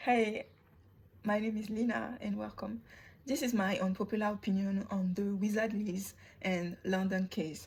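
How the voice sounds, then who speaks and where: Somewhat breathy and fairly even in intonation, a woman with a non-native accent talks at a moderate pace. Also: medium pitch for a woman. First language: not English. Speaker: YouTuber commentator. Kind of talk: opinion monologue.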